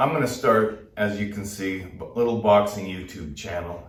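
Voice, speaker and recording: A man talks at a fairly slow pace in a fairly low pitch. Noticeable background noise and audible room echo are present. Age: 60s. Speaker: boxing trainer. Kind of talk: tutorial. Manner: casual, conversational.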